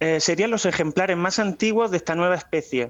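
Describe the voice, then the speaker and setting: A man speaks with fairly even intonation. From Spain, Murcia (Águilas). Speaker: paleontologist. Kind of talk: interview.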